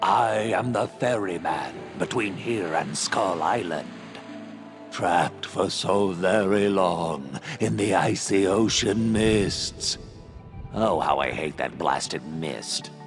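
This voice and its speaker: Someone performs a put-on character voice at a fairly slow pace. Clear music plays in the background. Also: man, fairly low pitch for a man. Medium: machinima. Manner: theatrical swings between doom and casual chatter.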